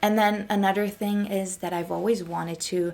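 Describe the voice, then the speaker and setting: A woman speaks with an American accent. Her pitch is medium and her pace moderate. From Germany. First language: German. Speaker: lifestyle vlogger. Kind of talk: casual chat. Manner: chatty.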